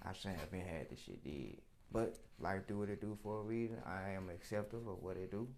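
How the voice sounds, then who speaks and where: With audible room echo, a man with an American accent talks at a fairly quick pace, his fairly low pitch showing ordinary variation. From Arkansas, near Memphis. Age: 20s. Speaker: rapper. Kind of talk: interview. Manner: casual, slangy.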